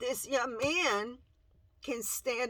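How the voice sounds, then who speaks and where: The voice has lively intonation and is in a Spanish accent. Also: woman. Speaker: parent video blogger. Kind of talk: personal testimony. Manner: halting.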